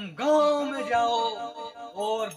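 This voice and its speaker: A man speaks at a very slow pace, with clear music in the background. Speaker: comedy sketch actor. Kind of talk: theatrical parody dialogue. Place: open country. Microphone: camera far.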